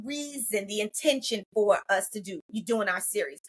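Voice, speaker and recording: At a moderate pace, a woman speaks in an animated tone with an American accent. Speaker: podcast host, mental health clinician. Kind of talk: casual podcast chat. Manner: halting with fillers.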